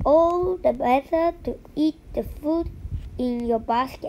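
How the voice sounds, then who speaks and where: A woman puts on a high-pitched character voice and talks fairly slowly over clear background noise. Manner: growling.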